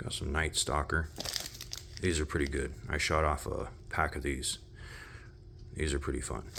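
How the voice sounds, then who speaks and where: Spoken at a moderate pace with long, frequent pauses, over noticeable background noise. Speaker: fireworks hobbyist vlogger. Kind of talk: casual show-and-tell video. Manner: casual, with fillers.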